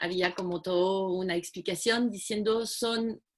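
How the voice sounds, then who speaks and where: A woman with a French accent speaks at a very slow pace, her pitch varying in an ordinary way. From France. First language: French (speaking Spanish). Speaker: community project founder. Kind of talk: video call talk. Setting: video call.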